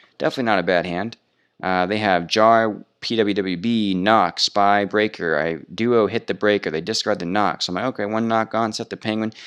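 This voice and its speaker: A man's fairly low, fairly quick delivery with fairly even intonation, over a quiet background. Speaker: card game youtuber. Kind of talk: gameplay commentary. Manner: fast.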